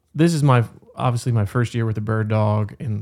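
At a moderate pace, someone with an American accent speaks in an ordinary speaking voice. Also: man. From West Virginia, Berkeley County. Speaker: conservation fundraiser and bird dog owner. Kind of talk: casual chat.

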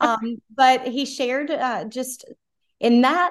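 Speaking with an American accent, a woman uses a high pitch. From South Carolina. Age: 40s. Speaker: pro-life lobbyist. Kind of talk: interview conversation.

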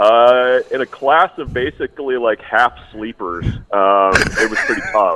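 A man with an unremarkable speaking voice, a fairly slow pace and ordinary pitch variation, in a dry, close sound with no echo. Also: medium pitch for a man, hardly any pauses. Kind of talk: casual chat.

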